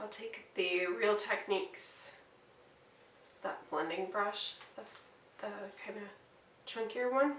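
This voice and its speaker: A woman with an American accent speaks at a fairly slow pace, with long, frequent pauses and big swings in loudness. Her pitch is medium with ordinary variation, and the room echo is audible. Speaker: beauty vlogger. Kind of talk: casual get-ready-with-me makeup tutorial. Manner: casual, hesitant with fillers.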